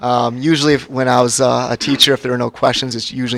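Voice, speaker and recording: This man holds a medium pitch and a monotone, flat intonation while noticeable background noise plays behind him. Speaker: school district finance official. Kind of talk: budget presentation at public meeting. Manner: fast; hesitant, many fillers.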